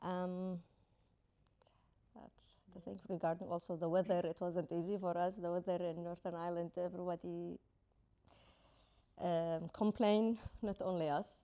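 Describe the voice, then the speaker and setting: Speaking at a moderate pace, a woman uses a fairly low pitch, a dark, mellow tone and monotone, flat intonation, leaving long, frequent pauses. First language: not English. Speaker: guest on community podcast. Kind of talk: casual chat.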